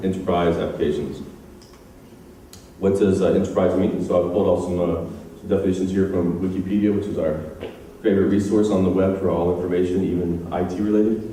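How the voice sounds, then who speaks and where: In a room with audible echo, a man with an American accent and a very deep, low pitch talks at a fairly quick pace with fairly even intonation. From United States. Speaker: software engineer and conference speaker. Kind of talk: conference talk. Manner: hesitant, many fillers.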